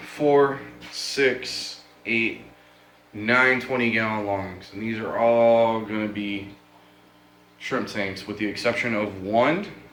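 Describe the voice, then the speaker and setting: A man with a medium-pitched voice talks at a very slow pace with fairly even intonation and long, frequent pauses, heard with audible room echo and noticeable background noise. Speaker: fish keeping hobbyist vlogger. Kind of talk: casual video update. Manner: casual, some filler words.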